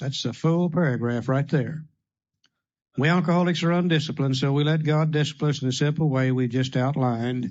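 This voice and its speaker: A man with a fairly high pitch speaks at a moderate pace in a plain, everyday voice. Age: 60s. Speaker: AA speaker. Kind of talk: recovery workshop talk. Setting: room with audience.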